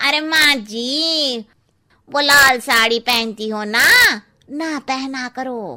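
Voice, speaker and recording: A cartoonish character voice from a woman, high-pitched with ordinary pitch variation, at a very slow pace. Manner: blunt, cheeky.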